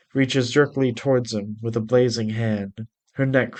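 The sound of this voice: Against a quiet background, an unforced reading voice carries fairly even intonation.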